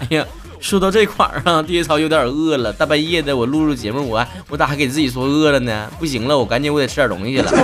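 In a northeastern Chinese accent, a man speaks at a very fast pace with an animated tone and ordinary pitch variation, with music in the background. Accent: Northeastern-flavored Mandarin. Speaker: podcast host, comedic talk show. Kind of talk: comedic monologue. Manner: animated, joking.

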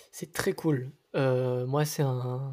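In a very clean recording with a silent background, a man talks at a fairly high pitch with fairly even intonation. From Nice, southern France. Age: 20s. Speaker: singer. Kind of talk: casual chat.

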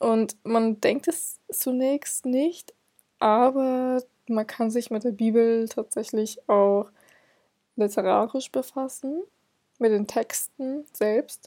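A woman's very slow speech with long, frequent pauses, fairly high in pitch, dark and mellow in tone, with ordinary pitch variation and a dry, close sound with no echo. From northern Germany, Hamburg. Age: 20s. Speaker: literature student podcaster. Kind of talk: solo educational podcast talk. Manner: hesitant with frequent filler sounds.

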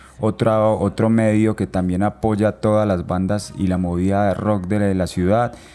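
With an Antioquian accent, a man speaks fairly slowly in a fairly low, dark and mellow voice with fairly even intonation. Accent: Colombian paisa Spanish. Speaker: musician and photographer, podcast co-host. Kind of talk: casual chat. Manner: halting, frequent repetitions.

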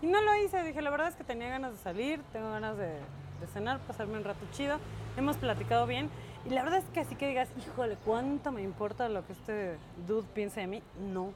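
Her pitch swings very widely as a woman speaks. She keeps a fairly quick pace. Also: fairly high pitch for a woman. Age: 40s. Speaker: podcast co-host. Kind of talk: casual chat.

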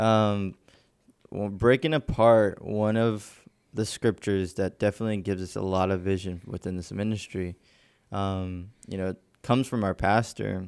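An unremarkable speaking voice from a man at fairly low pitch, moderate pace and fairly even intonation, in a very clean recording with a silent background. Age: 20s. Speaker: church media team podcast host. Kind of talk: casual chat about faith.

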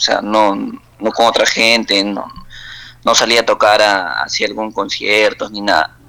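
A man at a fairly slow pace, with a Peruvian accent. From Peru, Huancabamba (Piura highlands) and Lima. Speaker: singer-songwriter and cook. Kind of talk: casual interview. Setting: WhatsApp call.

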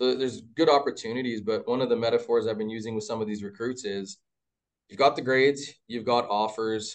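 A man with a Canadian accent speaks at a medium pitch and a fairly quick pace. It is an unremarkable speaking voice with fairly even intonation. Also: big swings in loudness. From Mississauga, Ontario, Canada. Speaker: men's university basketball head coach. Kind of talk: casual interview.

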